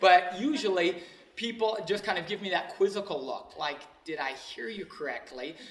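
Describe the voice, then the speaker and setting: A high-pitched man at a moderate pace, lively intonation and big swings in loudness, over noticeable background noise. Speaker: motivational speaker. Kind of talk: speech to an audience.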